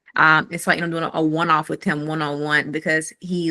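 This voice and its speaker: Speaking at a fairly quick pace, a woman with a very deep, low pitch has a bright, sharp tone, recorded with a dry, close sound with no echo. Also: quiet background. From US South, rural Mississippi near Jackson. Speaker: fintech founder and researcher. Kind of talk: community call presentation.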